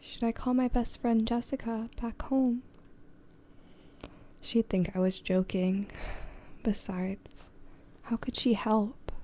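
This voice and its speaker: The speaker is soft-spoken and talks at a very slow pace with long, frequent pauses. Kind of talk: ASMR soft-spoken story reading.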